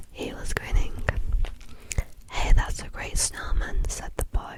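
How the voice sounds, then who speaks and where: Someone whispers at a fairly slow pace. Noticeable noise runs in the background. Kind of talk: ASMR story reading. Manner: whispered.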